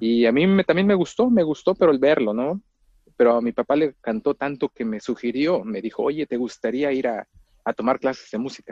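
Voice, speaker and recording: A man's medium-pitched voice, fairly quick and with lively intonation. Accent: Mexican. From Mexico, rural town near Mexico City. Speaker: orchestral clarinetist. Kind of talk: interview. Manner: halting, many repetitions and fillers.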